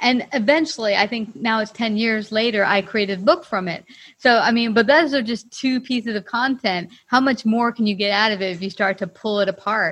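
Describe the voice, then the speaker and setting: Fairly quick, fairly high female speech with hardly any pauses and ordinary pitch variation, in a quiet background. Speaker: podcast host. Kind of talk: interview. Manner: animated.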